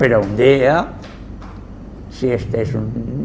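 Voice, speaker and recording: A man with a medium-pitched voice speaks at a very slow pace, with audible room echo and noticeable background noise. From Mallorca, Spain. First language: Catalan (Mallorquin) (speaking Spanish). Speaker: Jesuit priest, linguist and anthropologist. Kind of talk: lecture. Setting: cultural center talk with audience.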